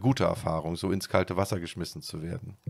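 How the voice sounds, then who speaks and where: A man talks over a quiet background. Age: 40s. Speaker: real estate executive; podcast guest. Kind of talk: interview. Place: office. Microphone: studio mic.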